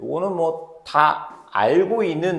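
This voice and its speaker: A man's voice against noticeable background noise. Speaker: math tutor. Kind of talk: tutorial. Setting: recorded video lesson. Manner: fast; informal speech to students.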